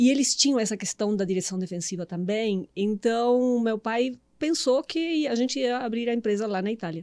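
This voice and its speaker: A woman's fairly high, dark and mellow voice with lively intonation and a Uruguayan accent, on a very clean recording with a silent background. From Uruguay, Montevideo. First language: Spanish (speaking Portuguese). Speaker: meditation and mindset coach. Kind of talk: podcast interview.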